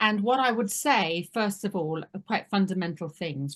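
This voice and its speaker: With a British accent, a woman speaks at a moderate pace in a somewhat breathy voice with lively intonation against a quiet background. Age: 60s. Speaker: family business advisor. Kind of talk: webinar presentation.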